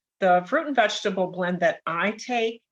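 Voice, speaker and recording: A woman's voice at a moderate pace, medium in pitch, a normal speaking voice, with a dry, close sound and no echo. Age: 60s. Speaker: nurse. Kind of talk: interview.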